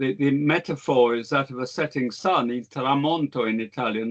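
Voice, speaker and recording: At a moderate pace, a man with a British accent speaks with ordinary pitch variation. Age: 70s. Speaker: historian. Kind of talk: lecture. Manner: halting, frequent repetitions and fillers.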